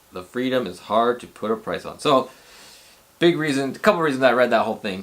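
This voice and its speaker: With an ordinary speaking voice, a man talks at a medium pitch and ordinary pitch variation. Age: 40s. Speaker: rideshare driver and video blogger. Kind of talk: casual vlog talk. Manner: casual, rambling with repetitions.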